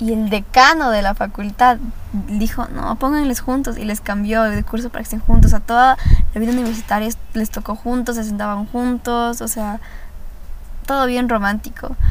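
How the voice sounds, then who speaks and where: Amid noticeable background noise and audible room echo, a woman talks at a moderate pace in a fairly high pitch with fairly even intonation. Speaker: podcast host. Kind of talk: casual monologue, reading confessions aloud.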